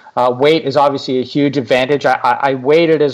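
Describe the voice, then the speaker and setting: A man with a Canadian accent and a normal speaking voice, medium in pitch, at a moderate pace with fairly even intonation. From Canada. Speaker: travel blogger. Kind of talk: interview conversation. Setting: remote call.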